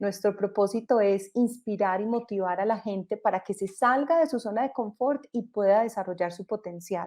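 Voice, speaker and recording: Against a quiet background, a woman with a Colombian accent speaks in a dark, mellow tone at medium pitch and a moderate pace, with hardly any pauses. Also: ordinary pitch variation. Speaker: entrepreneur, company co-founder. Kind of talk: panel discussion in online event.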